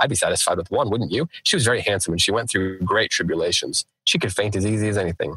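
Over a quiet background, someone reads aloud in a natural voice with ordinary pitch variation.

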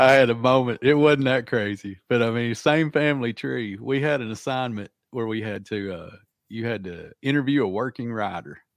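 A man with a Southern US accent talks at a moderate pace in a medium pitch, with ordinary pitch variation. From Arkansas. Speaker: podcast host, writer. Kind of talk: casual interview. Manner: halting.

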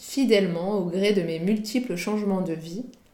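Amid audible room echo, a woman talks fairly slowly at a medium pitch with ordinary pitch variation. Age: 30s. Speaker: podcast host and freelance content strategist. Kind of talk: solo monologue podcast.

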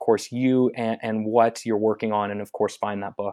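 A man with an American accent has a dark, mellow tone and fairly even intonation, in a very clean recording with a silent background. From Northern California, Marin area. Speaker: podcast host. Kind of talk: interview.

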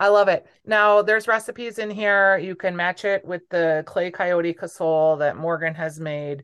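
With an ordinary speaking voice, a woman talks at a moderate pace and medium pitch, using ordinary pitch variation and hardly any pauses against a quiet background. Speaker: podcast host. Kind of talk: casual interview.

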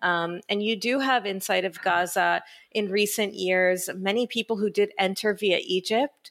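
A woman with a normal speaking voice talks at a moderate pace at a medium pitch, her loudness very even and her intonation fairly even, on a very clean recording with a silent background. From Israel and the US, born in Israel. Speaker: executive director of a human rights legal organization. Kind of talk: interview.

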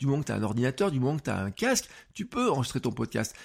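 A man talks in a fairly high, somewhat breathy voice with very wide pitch swings. The recording is very clean, the background silent. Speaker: podcast coach. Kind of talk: tutorial. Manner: animated; casual, many fillers.

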